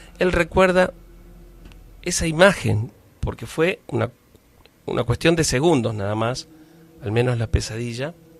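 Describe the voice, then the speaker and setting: A man speaks at a fairly slow pace with long, frequent pauses. His medium-pitched voice has lively intonation. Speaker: radio host. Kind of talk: radio horror story narration.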